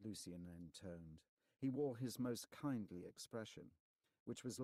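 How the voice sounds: The background stays quiet during a natural reading voice.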